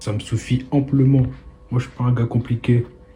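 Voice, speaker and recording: A man at medium pitch talks at a moderate pace with monotone, flat intonation while music plays in the background. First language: not French (speaking French). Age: 20s. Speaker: vlogger. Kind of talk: casual vlog monologue. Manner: casual, hesitant with fillers.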